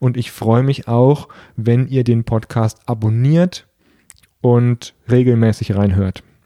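A man's dark, mellow voice at medium pitch and a very slow pace, dry and close with no echo. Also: very even loudness. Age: 30s. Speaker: podcast host and coach. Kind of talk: solo podcast introduction monologue.

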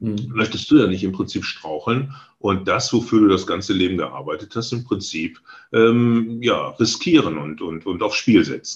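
Somewhat breathy and medium in pitch, a man speaks with lively intonation at a moderate pace. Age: 60s. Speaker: real estate agent, licence partner, former sales manager. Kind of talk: interview. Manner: halting, frequent fillers.

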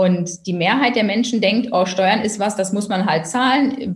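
At a moderate pace, a woman speaks in a medium pitch with lively intonation and a somewhat breathy quality. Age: 40s. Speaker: tax advisor and first-time author. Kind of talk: interview.

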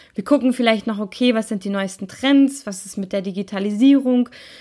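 A woman talks at a fairly quick pace with ordinary pitch variation. Her voice is fairly high in pitch, with a dark, mellow tone.

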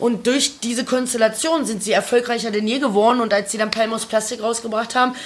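A woman talks fairly quickly, her fairly high voice holding fairly even intonation, while noticeable noise sits in the background. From Lower Saxony, small village. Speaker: podcast co-host. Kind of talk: casual chat.

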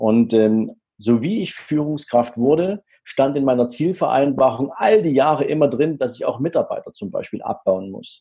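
Fairly high-pitched, somewhat breathy male voice with a dark, mellow tone, very wide pitch swings and a moderate pace. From former East Germany. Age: 40s. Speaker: wealth manager and business coach. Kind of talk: interview.

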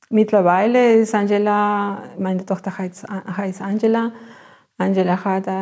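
A woman speaks very slowly with a Spanish accent, her medium-pitched voice dark and mellow. Her intonation is flat and monotone, and the recording is very clean with a silent background. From Peru, Ayacucho (Andes). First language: Spanish (speaking German). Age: 40s. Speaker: biotechnology lab technician. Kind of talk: interview. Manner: halting.

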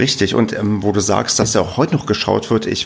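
A man's fairly low voice at a fairly quick pace, with noticeable background noise. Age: 30s. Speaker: podcast host. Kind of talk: casual chat.

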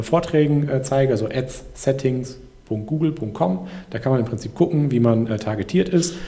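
This man talks at a moderate pace, his medium pitch moving with ordinary variation. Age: 30s. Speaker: entrepreneur. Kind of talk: casual chat. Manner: hesitant.

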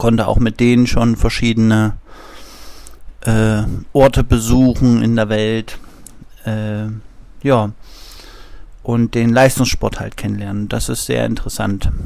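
A man with medium pitch and a dark, mellow tone speaks very slowly in flat, monotone intonation, with long, frequent pauses. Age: 30s. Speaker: physiotherapist. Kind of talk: interview.

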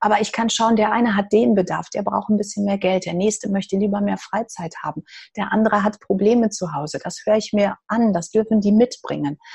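A woman's medium-pitched, somewhat breathy voice at a fairly quick pace. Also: ordinary pitch variation. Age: 50s. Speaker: hairdresser and energy therapist. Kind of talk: interview.

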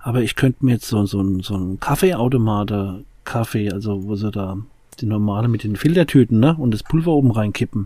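A man speaks at a fairly quick pace with a fairly low pitch. His tone is dark and mellow. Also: ordinary pitch variation. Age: 40s. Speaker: addiction recovery podcast host. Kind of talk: casual chat.

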